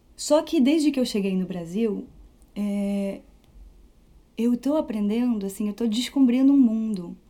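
Speaking at a fairly slow pace with long, frequent pauses, a woman has a dark, mellow tone and a fairly high pitch, in a very clean recording with a silent background. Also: ordinary pitch variation. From France (Paris region). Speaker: flautist and music teacher. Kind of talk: interview.

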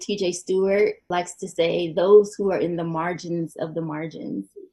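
A woman talks in an unremarkable speaking voice with ordinary pitch variation. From North Carolina, Winston-Salem. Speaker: PhD candidate. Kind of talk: casual interview conversation.

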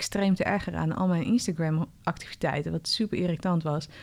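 On a very clean recording with a silent background, a woman with a fairly low pitch speaks at a fairly quick pace with fairly even intonation. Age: 30s. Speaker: podcast host and coach. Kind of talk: interview. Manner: loud.

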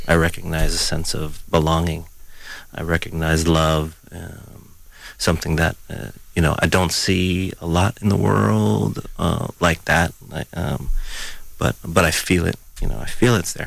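A man speaks at a fairly slow pace with a very deep, low pitch, lively intonation and vocal fry. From Mexico, left as baby. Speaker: earth skills practitioner. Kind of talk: radio panel discussion. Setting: studio. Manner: halting.

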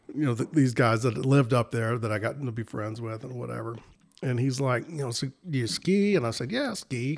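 A man speaks at a fairly quick pace in a medium pitch. He has a normal speaking voice with ordinary pitch variation. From north Texas (Lake Dallas, near Denton). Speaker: ski patroller and fishing guide. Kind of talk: casual chat.

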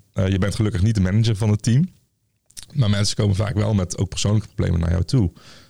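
A man talks at a very fast pace in a Brabant accent, his tone dark and mellow and somewhat breathy. Loudness stays very even, pitch varies in an ordinary way, and the sound is dry and close with no echo. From Tilburg, North Brabant. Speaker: nurse, lecturer and researcher. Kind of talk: casual interview. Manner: hesitant, many fillers.

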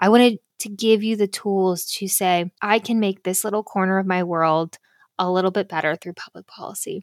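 An unremarkable speaking voice at a moderate pace, fairly even in intonation but with big swings in loudness, on a very clean recording with a silent background and a dry, close sound with no echo. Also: woman, medium pitch for a woman. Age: 30s. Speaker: podcast host. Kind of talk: casual monologue.

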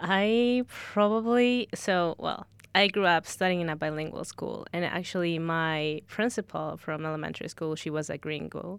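A woman with a Spanish accent, fairly low pitch and ordinary pitch variation, at a moderate pace with hardly any pauses, on a very clean recording with a silent background. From Ecuador. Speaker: recent university graduate. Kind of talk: casual chat.

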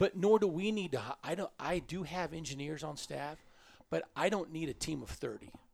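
Vocal fry runs through this man's speech, which has a Midwestern US accent and ordinary pitch variation. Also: fairly high pitch for a man, moderate pace. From Kansas (Pratt). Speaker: transportation agency executive. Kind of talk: interview.

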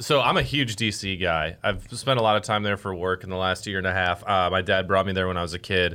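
A man talks at a very fast pace in an American accent. His pitch is very deep and low, with ordinary variation. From US Midwest, Chicago suburbs. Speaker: podcast co-host. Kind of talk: casual chat.

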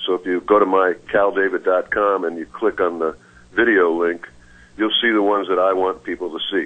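A man with an American accent speaks at a fairly quick pace with fairly even intonation. His pitch is very deep and low. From US Midwest, Chicago. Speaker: blues guitarist and singer. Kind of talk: radio interview.

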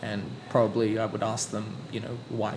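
Over noticeable background noise, a man talks at a moderate pace. His pitch is medium and his intonation fairly even. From Sydney, Australia. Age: 30s. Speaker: teacher and poet. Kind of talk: casual interview chat.

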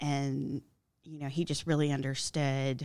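Recorded very cleanly against a silent background, a woman in a Georgia accent speaks at a moderate pace with a very deep, low pitch and fairly even intonation. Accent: Southern American (Georgia). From US South (Milledgeville, Georgia). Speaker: English education professor. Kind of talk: casual interview.

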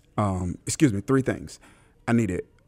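In a very clean recording with a silent background, a normal speaking voice with an American accent talks at a moderate pace with ordinary pitch variation. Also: man. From US South, Mississippi. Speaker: pastor. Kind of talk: interview. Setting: conference venue.

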